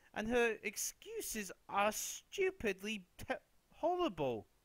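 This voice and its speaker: At a very slow pace, a man with a British accent speaks at a high pitch with very wide pitch swings. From Britain. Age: young. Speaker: political commentary youtuber. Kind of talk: casual commentary monologue. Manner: animated.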